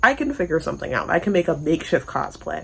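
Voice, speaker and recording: Pitched fairly low, a woman talks in an animated tone with vocal fry. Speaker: book vlogger. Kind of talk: casual chat.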